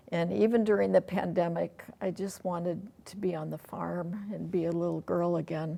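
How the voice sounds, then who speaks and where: Here a woman speaks with an Upper Midwest accent. Her voice is fairly low, its tone dark and mellow. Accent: Upper Midwest American. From rural Iowa. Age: 70s. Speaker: interview guest. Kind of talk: casual interview.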